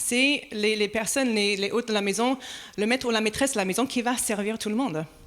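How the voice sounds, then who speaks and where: A woman talks with an American accent. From United States. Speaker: pastor. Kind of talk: sermon.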